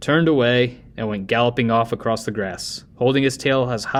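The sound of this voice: An unforced reading voice, intonation kept fairly even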